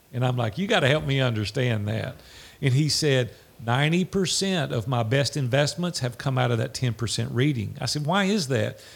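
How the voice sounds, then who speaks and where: A man with an American accent talks at a medium pitch and a moderate pace. His intonation is lively, and his voice is somewhat breathy. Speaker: entrepreneur. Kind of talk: interview. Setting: video call.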